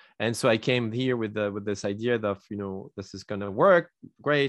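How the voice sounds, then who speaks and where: Using a French accent, a man talks fairly quickly at a fairly low pitch with fairly even intonation. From France. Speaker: entrepreneur and consultant. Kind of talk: interview. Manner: halting, many repetitions.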